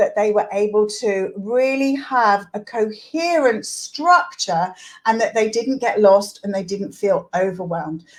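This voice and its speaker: On a very clean recording with a silent background, a woman with a fairly high pitch speaks at a fairly slow pace in an animated tone with lively intonation. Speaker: literacy teacher and coach. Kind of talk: tutorial.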